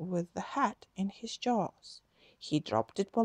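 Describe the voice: Plain reading aloud makes up the recording.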